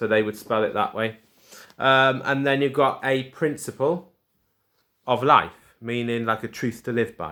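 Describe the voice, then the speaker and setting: A man with a Welsh accent, medium pitch and a fairly slow pace. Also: ordinary pitch variation. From Wales. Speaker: primary school teacher. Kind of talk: tutorial. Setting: recorded video lesson for pupils. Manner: casual.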